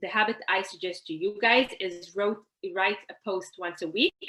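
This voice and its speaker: This woman has an Israeli accent and a medium pitch. Her tone is bright and sharp, and she keeps a moderate pace. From Israel, Haifa. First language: Hebrew. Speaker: networking coach, workshop presenter. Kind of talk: online workshop presentation. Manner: conversational, frequent fillers.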